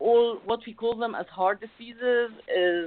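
The delivery is fairly slow, with an Arabic accent and fairly even intonation. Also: woman. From Egypt, Alexandria. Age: 40s. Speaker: life coach. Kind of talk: interview.

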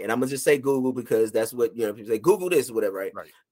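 With an American accent, an unremarkable speaking voice shows ordinary pitch variation. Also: man. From rural US. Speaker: licensed therapist. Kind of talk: casual chat.

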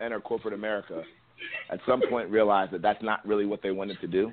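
A man with a fairly low pitch speaks at a very fast pace. Noticeable background noise runs underneath. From Ohio, US (Columbus); Nigerian descent. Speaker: rapper and former college football player. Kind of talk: interview.

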